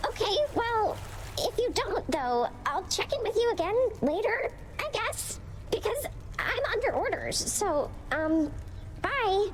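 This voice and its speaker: Amid loud background noise, a woman does a put-on character voice at an extremely high pitch and a fairly slow pace. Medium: machinima. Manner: hesitant, filler-heavy.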